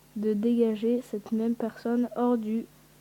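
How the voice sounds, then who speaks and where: Noticeable background noise surrounds a woman talking in a fairly high voice. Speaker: youtuber. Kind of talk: reading aloud. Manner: halting.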